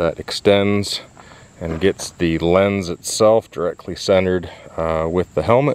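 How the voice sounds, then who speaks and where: Speaking at a fairly slow pace, a man uses a very deep, low voice with fairly even intonation. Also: dry sound with no echo. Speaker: motovlogger. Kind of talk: gear walkthrough tutorial. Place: open country.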